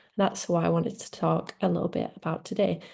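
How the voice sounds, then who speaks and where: With a Leeds accent, a woman talks at a fairly quick pace in a fairly low, dark and mellow voice. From northern England, Leeds. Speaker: social media manager. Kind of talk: webinar presentation.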